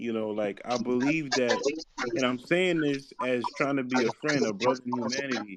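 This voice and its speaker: This man has a normal speaking voice with an American accent, medium pitch, ordinary pitch variation and a moderate pace. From US. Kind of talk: online religious debate.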